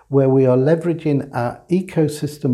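A man with an English accent, fairly high-pitched and somewhat breathy, his tone dark and mellow, at a fairly slow pace against a quiet background. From England. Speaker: supply chain executive. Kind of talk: interview.

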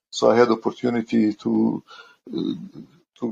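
Speaking at a very slow pace, a man talks with a Croatian accent. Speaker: maintenance engineer. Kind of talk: interview. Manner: halting.

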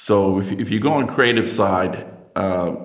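Audible room echo surrounds a man with an American accent. His very deep, low voice shows ordinary pitch variation. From United States. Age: 50s. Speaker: industrial researcher and inventor. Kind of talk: casual interview chat.

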